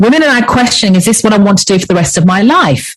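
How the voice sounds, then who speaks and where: Here a woman speaks with an English accent. Her pitch varies in an ordinary way. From England. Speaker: leadership coach. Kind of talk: interview.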